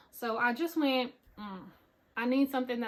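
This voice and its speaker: This is a woman speaking in an American accent. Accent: Southern US country accent, coming out more. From US South, Pensacola, Florida. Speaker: knitting podcaster. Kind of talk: casual chat. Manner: animated.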